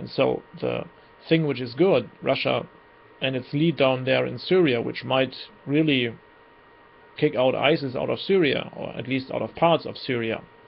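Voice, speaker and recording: Talking with a German accent, a man uses a medium pitch, ordinary pitch variation and a moderate pace. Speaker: political commentator. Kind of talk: monologue commentary. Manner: halting.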